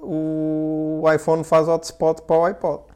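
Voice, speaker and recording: This man speaks with a European Portuguese accent. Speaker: podcast host. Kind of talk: casual chat.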